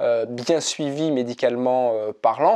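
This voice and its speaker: The background is quiet. A man speaks at a medium pitch with a dark, mellow tone. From France. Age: 40s. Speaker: ultra-triathlete and mental coach. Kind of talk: casual vlog monologue. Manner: hesitant with frequent fillers and repetitions.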